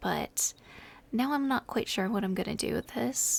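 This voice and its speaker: A soft-spoken woman whispers. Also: very clean recording, silent background. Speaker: ASMR gaming content creator. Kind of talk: casual talk to camera, gameplay tour. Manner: soft-spoken, whispery.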